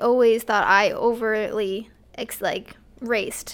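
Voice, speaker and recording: Speaking at a very slow pace, a woman with an American accent uses a fairly high pitch and a monotone, flat intonation. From Glastonbury, Connecticut. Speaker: track and cross-country coach. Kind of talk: casual chat.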